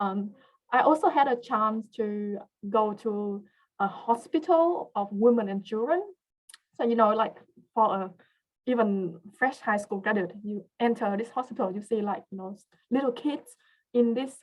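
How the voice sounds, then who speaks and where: A woman's fairly high voice with a non-native accent, ordinary pitch variation, big swings in loudness, moderate pace, and long, frequent pauses. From came to Australia as a teen, grew up partly in Western Australia. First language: not English. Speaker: research scientist. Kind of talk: webinar career talk. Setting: online webinar. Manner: hesitant, many fillers.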